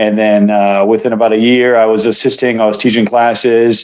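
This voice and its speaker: A man talks at a fairly quick pace and a medium pitch. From Israel, moved to US at seven. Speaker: martial arts instructor and acupuncturist. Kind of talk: interview. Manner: casual with many fillers.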